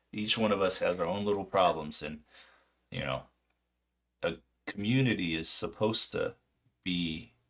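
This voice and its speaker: Speaking fairly slowly, a man with an American accent uses a fairly low pitch. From California, Orange County. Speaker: stock market streamer. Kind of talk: live stream monologue. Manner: halting.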